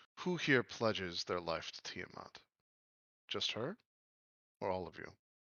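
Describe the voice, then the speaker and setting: A man speaks in a put-on character voice. His pitch sits fairly low. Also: moderate pace. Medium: actual play. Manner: imperious, demanding.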